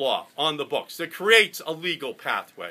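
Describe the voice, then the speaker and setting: This man's voice has a bright, sharp tone and moves at a moderate pace. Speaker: candidate. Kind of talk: campaign stump speech. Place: cafe. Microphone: phone near.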